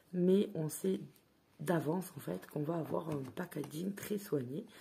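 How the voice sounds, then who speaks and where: A woman's very deep, low voice, dark and mellow with vocal fry, lively intonation and a fairly slow pace. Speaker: tarot card reviewer. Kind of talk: product review. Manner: hesitant, filler words.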